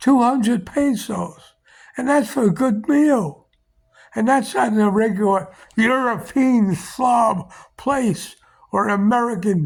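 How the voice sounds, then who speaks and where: A man with a New York accent talks at a very slow pace, his voice high for a man, with ordinary pitch variation and very even loudness. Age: 80s+. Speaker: vlogger. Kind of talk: casual monologue. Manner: blunt, opinionated rant.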